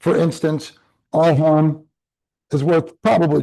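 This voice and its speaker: A man's dark, mellow voice, fairly high in pitch, against a quiet background. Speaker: real estate trainer. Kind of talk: live online class tutorial.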